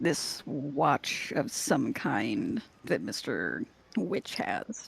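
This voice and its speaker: A man's raspy, put-on character voice. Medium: actual play. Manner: measured, deliberate.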